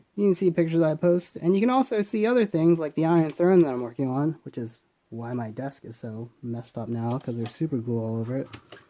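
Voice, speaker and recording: A man with a fairly high pitch and a dark, mellow tone races at a very fast pace with hardly any pauses, his pitch swinging very widely and his loudness swinging greatly. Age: 20s. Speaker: toy reviewer. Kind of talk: product review. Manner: casual, informal.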